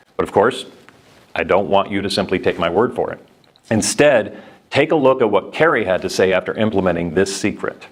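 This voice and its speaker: Lively in intonation, a man with an American accent talks at a fairly quick pace. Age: 50s. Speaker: sales presenter. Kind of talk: sales pitch. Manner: urgent.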